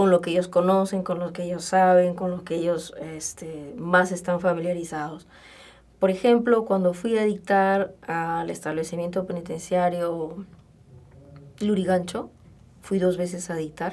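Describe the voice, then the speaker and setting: Here a woman has an ordinary speaking voice, pitched fairly low. She goes at a fairly slow pace with fairly even intonation. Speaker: communication lecturer and workshop trainer. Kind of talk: radio interview.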